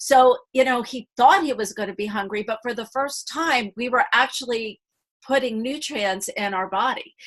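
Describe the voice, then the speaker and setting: Against a quiet background, a woman speaks in a high pitch with an animated tone and lively intonation. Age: 60s. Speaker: flight attendant and health coach. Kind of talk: testimony. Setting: video call.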